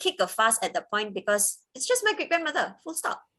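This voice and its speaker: A woman with a Cantonese accent speaks at a moderate pace in a bright, sharp tone, her pitch swinging very widely. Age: 30s. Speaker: interviewee sharing life story. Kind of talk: interview testimony.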